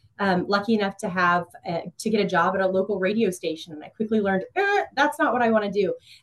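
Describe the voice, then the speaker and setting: A woman with a Midwestern American accent speaks at a medium pitch with ordinary pitch variation. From Kansas, Emporia. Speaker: community relations manager. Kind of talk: interview.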